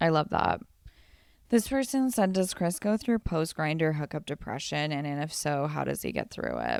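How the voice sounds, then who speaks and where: A woman with a Southern Californian accent, very deep and low in pitch, at a moderate pace with very wide pitch swings, on a very clean recording with a silent background. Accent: Valley Girl. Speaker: podcast co-host. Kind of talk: casual chat. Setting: hotel room.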